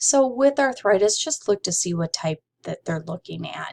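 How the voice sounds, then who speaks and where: This is a normal speaking voice with ordinary pitch variation at a moderate pace. The recording is very clean, with a silent background and a dry, close sound with no echo. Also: woman. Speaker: medical coding instructor. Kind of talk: lecture.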